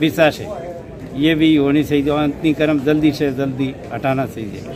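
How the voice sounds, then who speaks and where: A man with a fairly high voice and fairly even intonation is heard through noticeable background noise and audible room echo. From Rajasthan, Barmer area. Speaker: farmer with a complaint. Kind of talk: interview.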